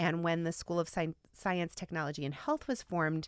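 Heard on a very clean recording with a silent background, a woman with an American accent speaks in an unremarkable speaking voice, fairly low in pitch and at a fairly quick pace. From rural Midwestern US. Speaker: associate dean and communication professor. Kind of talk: interview.

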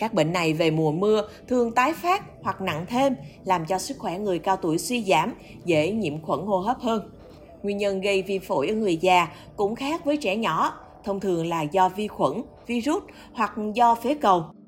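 Speaking at a fairly slow pace, a woman with a plain, everyday voice at medium pitch uses lively intonation. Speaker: newspaper podcast narrator. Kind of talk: scripted news narration.

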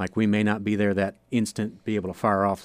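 A man talks at a very fast pace with an American accent. The recording is very clean with a silent background, and the sound is dry and close with no echo. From northern Ohio, US. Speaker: stock car racing driver. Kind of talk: radio interview. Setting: radio studio.

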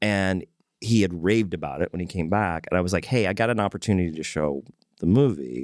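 Very deep and low, a man's voice moves at a very fast pace with ordinary pitch variation, recorded dry and close with no echo against a quiet background. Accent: American. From Texas, Corpus Christi. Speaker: journalist and local historian. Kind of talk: casual chat.

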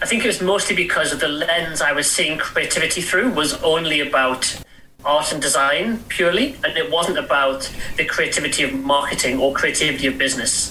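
With an English accent, a man speaks fairly quickly at a fairly high pitch and with lively intonation, amid audible room echo and noticeable background noise. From England. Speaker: author and entrepreneur. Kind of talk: interview. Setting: remote call.

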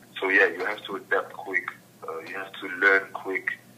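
Noticeable background noise runs under a man's moderately paced speech. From Netherlands. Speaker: professional footballer. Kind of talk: interview.

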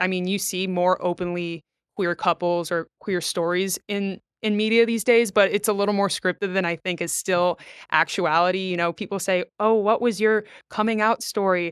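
In a normal speaking voice with an American accent, a woman talks at a moderate pace and medium pitch with fairly even intonation, the very clean recording dry and close with no echo and a silent background. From Florida (Gulf Coast, Pasco County area). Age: 20s. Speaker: mental health advocate and volleyball coach. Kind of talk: interview conversation. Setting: studio.

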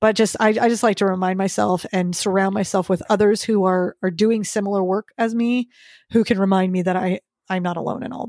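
In a very clean recording with a silent background, a woman talks at a fairly quick pace with fairly even intonation and medium pitch. The sound is dry and close with no echo, and she has an unremarkable speaking voice. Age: 40s. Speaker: fitness coach and podcaster. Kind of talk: casual interview chat.

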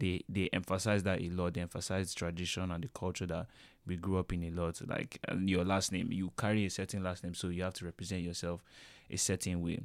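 Very deep, low male voice with a Nigerian accent, fairly quick pace and flat, monotone intonation. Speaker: student podcast host. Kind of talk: casual chat.

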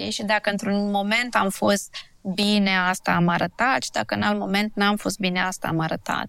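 A woman's normal speaking voice, medium in pitch, with fairly even intonation at a moderate pace on a very clean recording with a silent background. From Transylvania, Romania (Sibiu). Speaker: blogger and dentist. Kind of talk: interview conversation. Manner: casual conversational.

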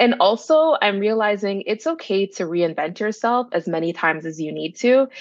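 With a Toronto accent, a woman at a medium pitch speaks with very wide pitch swings and hardly any pauses. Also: moderate pace. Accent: Toronto Canadian English. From Canada, Brampton, Ontario (Toronto area), Jamaican family. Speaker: content creator. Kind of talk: casual interview.

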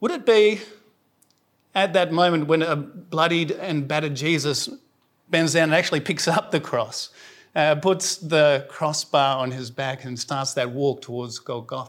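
Fairly high pitch from a man with a South Australian accent, fairly slow and with ordinary pitch variation, in a very clean recording with a silent background. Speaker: preacher. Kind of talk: sermon.

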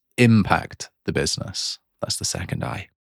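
Vocal fry at a moderate pace, dry and close with no echo. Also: man. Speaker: marketing podcast host. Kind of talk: scripted educational monologue.

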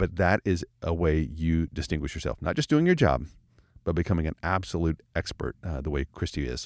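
Vocal fry at a moderate pace, in a dry, close sound with no echo and a very clean recording against a silent background. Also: man, very deep, low pitch for a man, ordinary pitch variation. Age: 40s. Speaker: church leadership podcast host. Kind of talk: casual chat. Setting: studio.

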